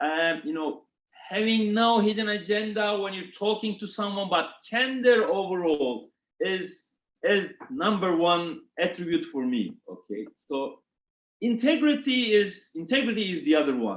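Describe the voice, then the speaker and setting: Speaking with a Turkish accent, a man talks at a fairly slow pace in a high pitch with very wide pitch swings. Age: 40s. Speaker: retail executive. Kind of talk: interview. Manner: halting.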